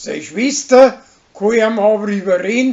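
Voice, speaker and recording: At a very slow pace, a man with a Bavarian accent talks in a high pitch with ordinary pitch variation. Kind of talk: weekly TV series episode summary.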